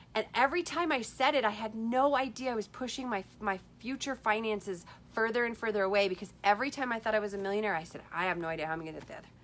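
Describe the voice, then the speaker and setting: A woman speaks in an animated tone at a fairly high pitch, with lively intonation and big swings in loudness. Her pace is very fast, with hardly any pauses. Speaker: life coach livestreamer. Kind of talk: Facebook live talk. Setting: Facebook live video.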